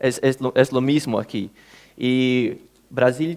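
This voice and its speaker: A man talks at medium pitch. The recording is very clean, with a silent background. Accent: Portuguese. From Brazil. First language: Portuguese (speaking Spanish). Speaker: government official, conference speaker. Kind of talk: conference talk. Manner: halting, with many fillers.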